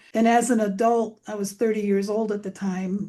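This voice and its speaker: A woman talks at a moderate pace in a medium pitch, her tone dark and mellow. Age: 70s. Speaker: abortion survivor sharing her story. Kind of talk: interview testimony.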